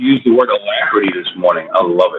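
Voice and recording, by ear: At a fairly quick pace, a man speaks at a low pitch with a slightly husky edge.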